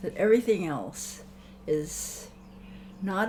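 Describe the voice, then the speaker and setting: A woman's medium-pitched voice at a fairly slow pace, with ordinary pitch variation, noticeable background noise and audible room echo. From Hawaii, Honolulu. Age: 80s+. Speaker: elder interviewee. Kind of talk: reflective interview. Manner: halting.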